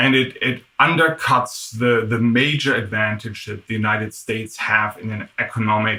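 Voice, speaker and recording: In a German accent, a man speaks at a medium pitch and moderate pace, his tone bright and sharp with ordinary pitch variation. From Germany. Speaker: tech executive. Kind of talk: interview.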